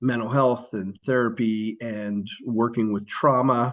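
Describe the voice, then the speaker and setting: Very slow and monotone, a man with an American accent speaks at a medium pitch with flat intonation. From US, Philadelphia. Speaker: social worker and author. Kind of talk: podcast interview.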